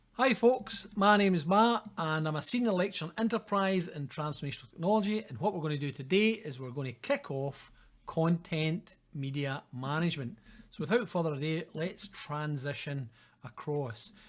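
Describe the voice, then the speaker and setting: High-pitched man with a Scottish accent, lively intonation and a moderate pace, in a very clean recording with a silent background. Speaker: university lecturer. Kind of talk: lecture. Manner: casual, conversational.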